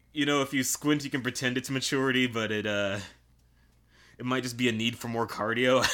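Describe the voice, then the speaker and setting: A man speaks at a fairly quick pace with a bright, sharp tone, medium pitch and fairly even intonation. The recording is very clean with a silent background. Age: 30s. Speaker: anime podcast co-host. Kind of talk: casual chat.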